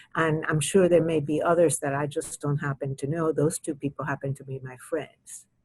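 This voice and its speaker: A woman with a very deep, low pitch and a Spanish accent speaks at a moderate pace with hardly any pauses, monotone and flat, somewhat breathy, with big swings in loudness, in a dry, close sound with no echo. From Cuba, raised from 13 in US. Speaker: retired judge and children's author. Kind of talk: interview. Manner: halting, with repetitions.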